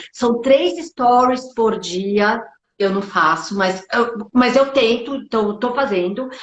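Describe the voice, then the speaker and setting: The woman's voice is high-pitched, and her pitch varies an ordinary amount. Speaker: beauty business consultant. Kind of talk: live stream business talk. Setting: online live stream.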